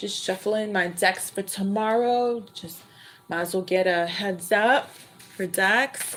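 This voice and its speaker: Someone speaks at a very slow pace with fairly even intonation over noticeable background noise. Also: woman. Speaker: tarot reader. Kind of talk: live stream tarot reading chat. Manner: high-pitched; loud.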